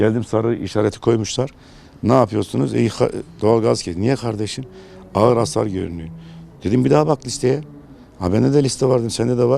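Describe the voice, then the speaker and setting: A man speaks at a fairly quick pace with lively intonation. Long, frequent pauses break his speech amid noticeable background noise. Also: medium pitch for a man. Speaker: neighbourhood headman. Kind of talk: interview answer.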